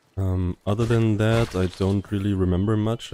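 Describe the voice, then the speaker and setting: With music in the background, a man with a non-native accent speaks in a fairly low voice, his tone relaxed and intonation fairly even. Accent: non-native accent, self-noted. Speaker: gaming YouTuber. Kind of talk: game commentary. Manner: relaxed, laid back.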